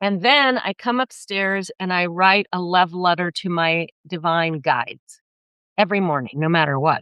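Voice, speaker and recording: A woman's normal speaking voice, fairly low in pitch, with lively intonation at a moderate pace. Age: 60s. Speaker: therapist and spiritual wellness teacher. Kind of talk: casual interview.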